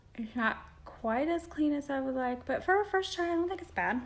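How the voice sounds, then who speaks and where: Quiet but high-pitched, a woman with an American accent talks at a fairly quick pace with very wide pitch swings. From Indiana, US Midwest. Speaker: beauty vlogger. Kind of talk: makeup tutorial. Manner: quiet, concentrating.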